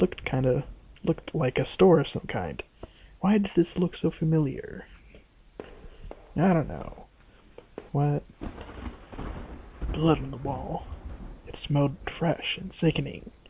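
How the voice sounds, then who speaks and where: Quiet, fairly slow speech with long, frequent pauses over noticeable background noise. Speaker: gaming video creator. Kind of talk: let's play commentary.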